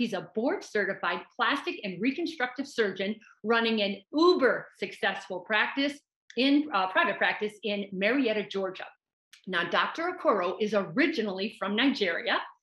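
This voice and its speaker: In a room with audible echo and a quiet background, a woman talks at a moderate pace with a bright, sharp tone. Her fairly high pitch moves in very wide swings. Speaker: business consultant to plastic surgeons. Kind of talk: podcast interview host. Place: office. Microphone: video call.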